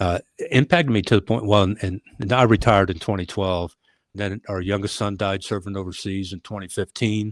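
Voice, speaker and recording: The voice comes in an American accent at a fairly quick pace, with fairly even intonation. The recording is very clean, dry and close, with a silent background and no echo. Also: man, fairly low pitch for a man. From United States. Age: 60s. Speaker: retired police leader. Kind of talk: interview. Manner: halting.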